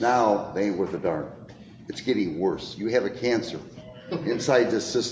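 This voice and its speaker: With an American accent, a man of medium pitch speaks at a moderate pace with lively intonation and long, frequent pauses, amid noticeable background noise and audible room echo. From Detroit. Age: 70s. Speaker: citizen. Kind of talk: heated complaint. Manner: emphatic.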